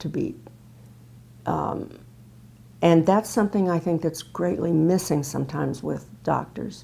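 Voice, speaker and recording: A woman with a fairly low pitch speaks in a dark, mellow tone with vocal fry. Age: 70s. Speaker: patient giving testimonial, retired speech pathologist. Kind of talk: testimony.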